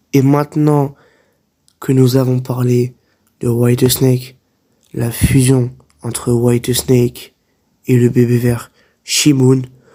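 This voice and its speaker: A medium-pitched man with a dark, mellow tone, monotone, flat delivery, a very slow pace, and long, frequent pauses. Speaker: anime commentary YouTuber. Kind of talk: casual talk to camera. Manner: unscripted, hesitant.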